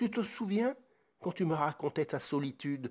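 On a very clean recording with a silent background, a man speaks fairly slowly with ordinary pitch variation in an unremarkable speaking voice. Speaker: ASMR creator and author.

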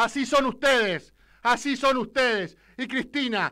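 A man's raised, projected voice carries a bright, sharp tone. He speaks at a fairly slow pace against a quiet background. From Argentina. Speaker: political radio commentator. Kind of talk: political rant. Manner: animated. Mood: angry, defiant. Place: studio. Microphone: studio mic.

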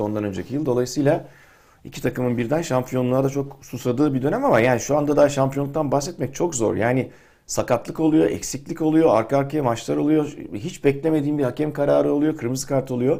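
A man talks at a very fast clip with a fairly high pitch, a dark, mellow tone and ordinary pitch variation, recorded very cleanly against a silent background. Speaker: football pundit. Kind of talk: casual chat.

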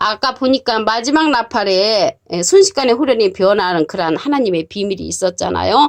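A woman's fairly high voice, marked by very wide pitch swings, sounds dry and close with no echo against a quiet background. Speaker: Bible teacher. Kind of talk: sermon. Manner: formal.

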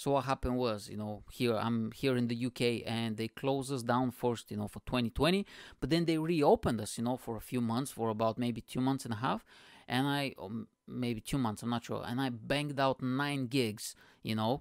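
A man at a moderate pace, fairly even intonation, dry sound with no echo, quiet background. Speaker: podcast host, comedian. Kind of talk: casual podcast monologue. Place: home room. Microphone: studio mic.

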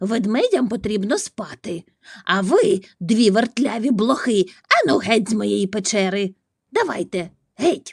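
A growling put-on character voice from a woman, fairly high in pitch, at a fairly slow pace. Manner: growling, angry.

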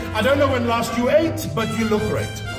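Clear music can be heard behind the speech. The speaker is a man. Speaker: entertainer, actor, MC. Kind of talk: live stand-up comedy. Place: stage.

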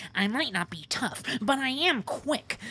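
In a put-on character voice, a female-sounding speaker talks at a fairly slow pace and a high pitch against clear background noise.

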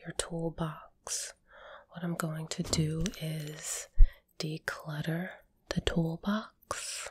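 A soft-spoken woman, fairly low in pitch and somewhat breathy, with monotone, flat intonation and a dry sound with no echo. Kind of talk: soft roleplay talk to viewer. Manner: soft, slow ASMR role-play voice. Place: home room. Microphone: phone near.

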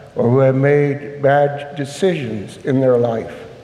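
Speaking at a very slow pace, a man with a fairly high pitch is heard against audible room echo. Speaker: priest. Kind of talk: homily at Mass. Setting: church. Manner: earnest, solemn; firm, measured. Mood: earnest, compassionate.

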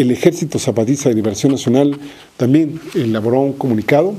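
Fairly quick speech from a man with an unremarkable speaking voice, medium pitch and ordinary pitch variation. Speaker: political commentator. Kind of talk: political commentary monologue.

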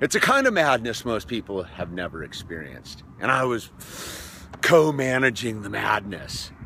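A man speaks at a moderate pace with very wide pitch swings, his voice dry with no echo over light background noise. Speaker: vlogger telling a story. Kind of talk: casual vlog chat. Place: open country. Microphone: phone near.

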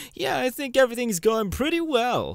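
A man puts on a character voice at an extremely high pitch with big pitch swings. He speaks at a fairly slow pace.

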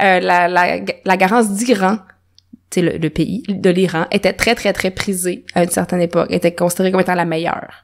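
Speaking at a fairly quick pace with a Quebec accent, a woman keeps her medium-pitched voice at very even loudness. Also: fairly even intonation. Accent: Québécois French. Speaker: natural dyer. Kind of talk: casual interview.

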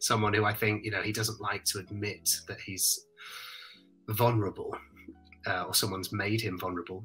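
Over faint background music, a man speaks at a moderate pace with a fairly low pitch and flat, monotone intonation. He leaves long pauses, and often. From British. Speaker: voice actor, stage and screen actor; voice actor, screen actor. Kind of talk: interview answer, casual talk about acting. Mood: warm, reflective. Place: home room. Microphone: studio mic.

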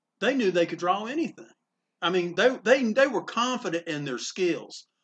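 Amid light background noise, a man with a North Carolina accent speaks at a moderate pace with very wide pitch swings. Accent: Southern US, small-town North Carolina. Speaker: comic book store owner. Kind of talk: interview storytelling. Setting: comic book store. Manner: animated. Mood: warm, amused. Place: shop. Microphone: phone near.

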